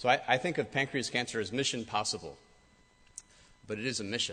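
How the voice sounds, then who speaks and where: With an American accent, a man talks at a fairly quick pace in a bright, sharp tone with ordinary pitch variation. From US Midwest, Michigan. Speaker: cancer researcher. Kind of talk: speech to an audience. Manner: hesitant, many fillers.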